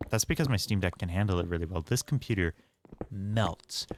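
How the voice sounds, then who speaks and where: A man talks at a moderate pace with a very deep, low pitch. His tone is relaxed. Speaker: gaming streamer. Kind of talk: casual chat. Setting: live stream. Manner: relaxed, chill.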